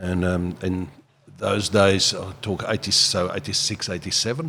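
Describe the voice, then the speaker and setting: Over noticeable background noise, a man with a South African accent speaks in a very deep, low voice with ordinary pitch variation. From South Africa, George, Western Cape. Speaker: business owner. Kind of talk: podcast interview.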